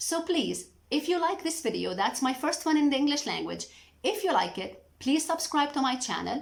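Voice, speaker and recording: Speaking in a Lebanese accent, a woman uses a high pitch and lively intonation. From Lebanon. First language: Arabic. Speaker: mental health educator, YouTuber. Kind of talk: educational talk to camera. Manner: halting.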